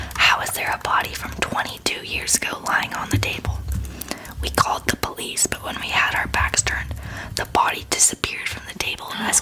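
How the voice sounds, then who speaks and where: Through noticeable background noise, a voice whispers at a fairly quick pace. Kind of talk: ASMR scary story reading.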